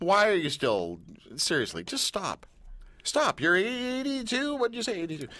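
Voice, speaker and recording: With a Canadian accent, a man projects a raised, high-pitched voice at a moderate pace, swinging very widely in pitch, in a very clean recording with a silent background. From Canada. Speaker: radio host. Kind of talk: casual chat. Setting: studio.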